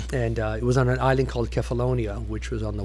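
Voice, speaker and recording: A man speaks with a very deep, low pitch. His intonation is flat and monotone. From Toronto, Canada (Greek immigrant family). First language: Greek. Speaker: former actor's stand-in. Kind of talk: interview storytelling.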